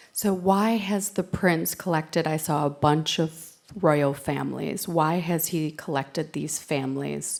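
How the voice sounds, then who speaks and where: Speaking fairly slowly, a woman with a New York accent uses a very deep, low voice with vocal fry and ordinary pitch variation. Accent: New York American. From US, New York. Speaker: panel moderator. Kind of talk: panel discussion.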